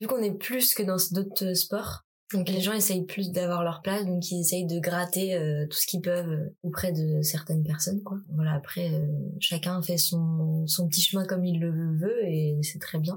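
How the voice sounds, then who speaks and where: A woman with an ordinary speaking voice talks at a fairly slow pace in a fairly low pitch, with fairly even intonation and very even loudness. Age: 20s. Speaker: contemporary dancer. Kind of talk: casual interview.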